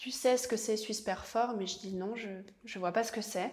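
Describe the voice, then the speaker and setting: A woman speaks at a fairly high pitch with ordinary pitch variation. Hers is a plain, everyday voice. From Valais, Switzerland (Sion). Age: 20s. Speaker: actress. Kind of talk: interview. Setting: at her parents' home.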